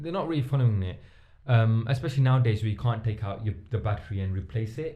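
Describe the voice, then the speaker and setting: Somewhat breathy, this man has a medium pitch. He talks at a very fast pace with ordinary pitch variation. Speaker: podcast co-host. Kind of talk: casual chat. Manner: halting.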